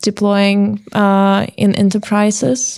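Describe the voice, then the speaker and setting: Speaking very slowly with a non-native accent, a woman keeps her intonation monotone and flat. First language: not English. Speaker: podcast interviewer. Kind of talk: interview.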